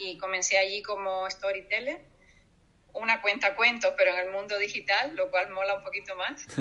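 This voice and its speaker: Noticeable background noise runs through the clip. Over it, a woman talks in a fairly high pitch. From Cuba. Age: 50s. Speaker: storyteller and writer. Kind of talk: interview.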